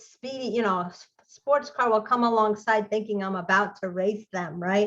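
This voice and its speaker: A woman speaks in a New York accent with a bright, sharp tone. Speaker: tutoring business owner. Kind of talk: casual interview chat.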